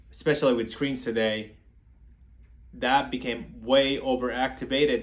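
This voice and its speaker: A man is speaking. Room echo is audible. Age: 20s. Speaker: therapist giving parenting advice. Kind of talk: live-stream Q&A talk. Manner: halting, with repeated words.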